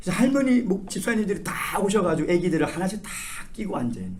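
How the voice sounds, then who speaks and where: Over noticeable background noise and audible room echo, a man talks at a fairly quick pace in a high pitch, his animated tone moving through very wide pitch swings. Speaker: pastor. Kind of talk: sermon.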